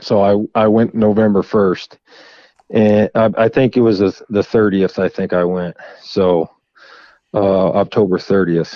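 With an American accent, the speaker talks at a fairly slow pace using fairly even intonation. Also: man. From Florida. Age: 30s. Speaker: public land bowhunter. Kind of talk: podcast interview.

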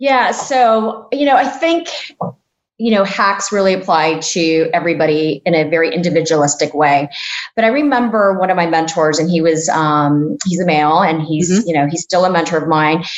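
In an American accent, a woman with an ordinary speaking voice talks at a moderate pace and fairly low pitch, with lively intonation and very even loudness. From US, Mexican American family. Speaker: tech executive. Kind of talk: interview.

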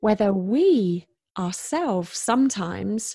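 In a British accent, a woman with a dark, mellow tone speaks at medium pitch on a very clean recording with a silent background. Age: 40s. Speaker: podcast host. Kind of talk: interview.

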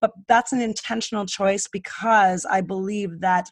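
A woman speaks in an unremarkable speaking voice with ordinary pitch variation. The recording is very clean and dry, close-miked with no echo over a silent background. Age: 50s. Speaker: speaker on aging. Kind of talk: interview.

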